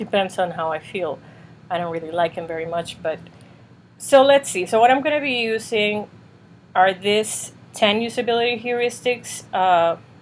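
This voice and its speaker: With a slight non-native accent, a woman talks at a moderate pace and medium pitch, using lively intonation. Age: 40s. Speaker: UX designer and reviewer. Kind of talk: casual tutorial review. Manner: casual with many fillers.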